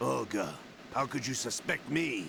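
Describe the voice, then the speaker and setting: Using a put-on character voice, a man speaks raspily at a medium pitch and a moderate pace. Clear background noise runs under him. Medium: video game. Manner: cold, controlled.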